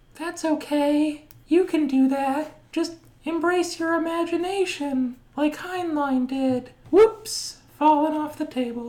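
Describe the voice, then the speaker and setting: This is a put-on character voice. It sounds squeaky and high-pitched. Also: fairly slow pace. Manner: reassuring, encouraging.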